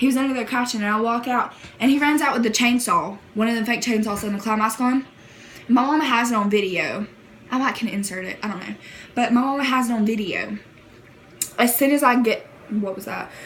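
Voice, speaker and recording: A woman with an American accent, fairly high in pitch and animated in tone, with ordinary pitch variation, long, frequent pauses and noticeable background noise. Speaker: YouTuber. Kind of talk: casual storytelling vlog.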